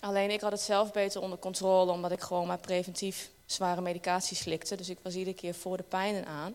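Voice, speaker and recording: A woman at medium pitch speaks very fast in a monotone, flat delivery with hardly any pauses. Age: 30s. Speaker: church member. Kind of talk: testimony. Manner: halting.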